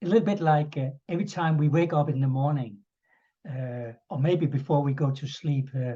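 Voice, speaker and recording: A dark, mellow tone, somewhat breathy. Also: man, fairly high pitch for a man, ordinary pitch variation, moderate pace. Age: 60s. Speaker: interviewer. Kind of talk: interview. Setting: video call.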